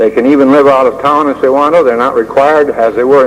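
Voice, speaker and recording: There is noticeable background noise. A man with a fairly high pitch speaks at a moderate pace. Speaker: former teacher. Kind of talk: oral history talk. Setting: 1976 recording. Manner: hesitant, frequent fillers.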